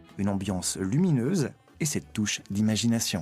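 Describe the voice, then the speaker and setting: A man speaks at a moderate pace with very wide pitch swings, music playing in the background. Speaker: voice-over artist. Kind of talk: TV program voice-over narration.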